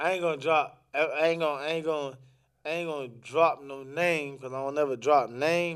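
A man with an American accent, fairly high in pitch, at a fairly quick pace. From Orlando, Florida. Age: 20s. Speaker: podcast guest sharing life story. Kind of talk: casual interview conversation. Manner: animated.

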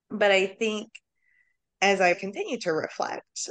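A woman with a plain, everyday voice speaks at a fairly slow pace with fairly even intonation. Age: 30s. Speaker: social worker. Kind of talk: casual chat.

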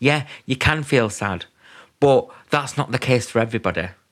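A man with a plain, everyday voice talks at a moderate pace with ordinary pitch variation in a very clean recording with a silent background. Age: 20s. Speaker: mental health podcaster. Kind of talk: personal monologue.

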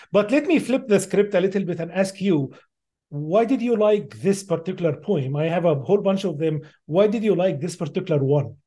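A man with an Arabic accent speaks at a high pitch in a dark, mellow tone, with lively intonation. His pace is fairly quick, against a quiet background. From Middle East. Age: 50s. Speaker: AI researcher. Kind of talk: interview.

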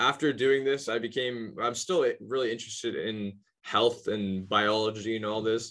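At a medium pitch, a man uses an unremarkable speaking voice. His intonation is fairly even and his pace moderate. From Halifax, Nova Scotia, Canada. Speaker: podcast host. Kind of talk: casual interview conversation.

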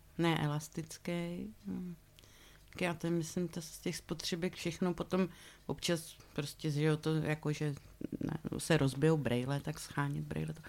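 Her pitch very deep and low, a woman speaks fairly slowly with fairly even intonation. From South Moravia, Czechia (Valtice). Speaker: theatre props maker and painter. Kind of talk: casual interview. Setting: theatre props room.

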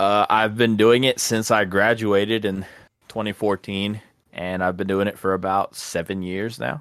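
A man's plain, everyday voice with an American accent, fairly low in pitch, at a moderate pace with fairly even intonation, on a very clean recording with a silent background. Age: 20s. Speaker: podcast co-host and water treatment operator. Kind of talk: casual chat.

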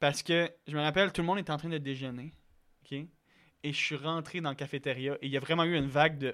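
This fairly quick speaker has a bright, sharp tone and fairly even intonation in a Quebec accent, captured in a very clean recording with a silent background. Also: man, fairly high pitch for a man. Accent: Québécois French. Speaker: podcast guest. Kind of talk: casual chat.

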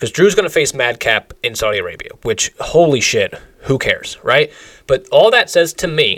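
The sound is dry and close with no echo as this man talks at a moderate pace. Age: 20s. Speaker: wrestling podcast co-host. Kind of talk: casual chat.

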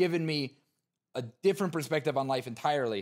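Recorded very cleanly against a silent background, a man with an American accent talks in an animated tone at a fairly quick pace with ordinary pitch variation. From New Jersey. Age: 20s. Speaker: content creator. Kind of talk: casual interview chat. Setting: gaming arena studio. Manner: loud.

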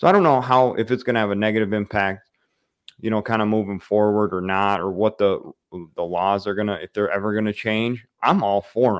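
Fairly quick delivery from a man with a plain, everyday voice, fairly low in pitch, with fairly even intonation. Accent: American. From Michigan, the Thumb. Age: 30s. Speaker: hunting YouTuber and live stream host. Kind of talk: casual live-stream interview.

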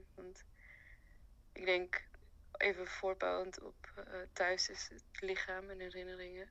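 Long, frequent pauses break up delivery that proceeds at a very slow pace. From Afghanistan / Iran. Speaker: art student. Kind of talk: interview.

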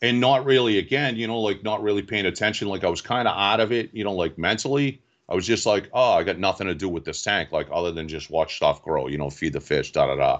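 A man with a Boston accent and a fairly low pitch talks at a very fast pace with hardly any pauses. The background is quiet. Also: lively intonation. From Boston area, Massachusetts (Quincy). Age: 40s. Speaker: reef club president, aquarium hobbyist. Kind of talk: casual interview.

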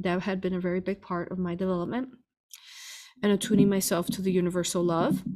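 A woman's normal speaking voice at a medium pitch, on a very clean recording with a silent background. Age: 40s. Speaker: spiritual healer and hypnosis teacher. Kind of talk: interview answering viewer questions.

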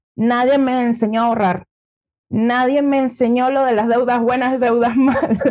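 A woman speaks at a high pitch and moderate pace, her intonation monotone and flat and her loudness very even. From Venezuela, Margarita Island. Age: 30s. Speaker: entrepreneur and former lawyer. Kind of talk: interview.

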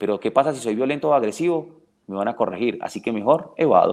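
Lively in intonation, a man speaks at a very fast pace and a medium pitch. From Venezuela, Caracas. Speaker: dog trainer. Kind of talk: interview.

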